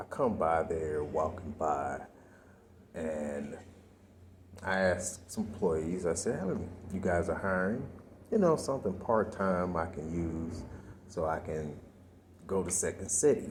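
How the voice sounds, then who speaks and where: A man's quiet, somewhat breathy, very deep voice at a fairly slow pace with long, frequent pauses and audible room echo. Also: ordinary pitch variation. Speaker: vlogger. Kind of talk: personal vlog monologue. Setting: library. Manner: quiet, talking low.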